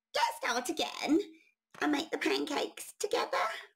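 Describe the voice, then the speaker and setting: This is a put-on character voice, high and squeaky. It moves at a moderate pace with very wide pitch swings. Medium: read story. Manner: eager, emphatic.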